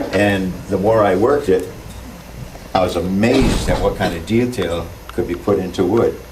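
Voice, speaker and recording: With an American accent, a man speaks at a moderate pace and with ordinary pitch variation, amid audible room echo and noticeable background noise. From Massachusetts. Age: 60s. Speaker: wood carver. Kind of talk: talk to a seminar audience. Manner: halting, with many fillers.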